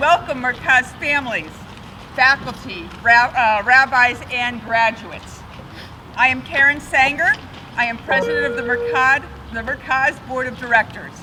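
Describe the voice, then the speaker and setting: A woman's high voice at a moderate pace, ordinary pitch variation, noticeable background noise. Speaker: board president. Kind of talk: ceremony speech.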